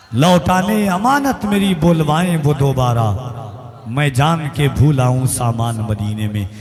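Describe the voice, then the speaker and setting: Amid audible room echo and noticeable background noise, a man speaks in a fairly high pitch with lively intonation. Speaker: stage announcer at religious gathering. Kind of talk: stage compering with poetry. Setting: stage with audience, PA system. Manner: declamatory.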